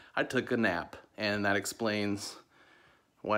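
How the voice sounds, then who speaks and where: A man talks in a fairly low pitch with fairly even intonation. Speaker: motivational vlogger and comedian. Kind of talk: motivational vlog monologue. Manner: casual, conversational.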